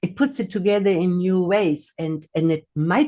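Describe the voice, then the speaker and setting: A woman speaks with a non-native accent in a dark, mellow tone. Her pace is moderate. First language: not English. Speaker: hypnotherapist and mindfulness teacher. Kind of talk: livestream talk. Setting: livestream on video call. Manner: hesitant, many fillers and repetitions.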